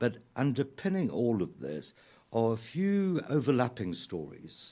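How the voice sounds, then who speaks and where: A man with a South African accent and a dark, mellow tone speaks at a fairly slow pace, his pitch swinging very widely. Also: medium pitch for a man. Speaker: playwright and lyricist. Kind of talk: radio interview. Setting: radio studio.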